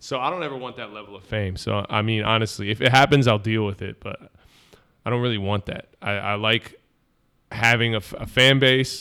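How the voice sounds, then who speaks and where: An ordinary speaking voice moves at a fairly quick pace with ordinary pitch variation. Its loudness swings widely. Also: man, medium pitch for a man. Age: 30s. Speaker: rapper. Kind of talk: casual chat.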